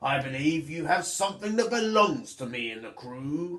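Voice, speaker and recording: A man puts on a character voice pitched high. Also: moderate pace. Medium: read story. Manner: sneering.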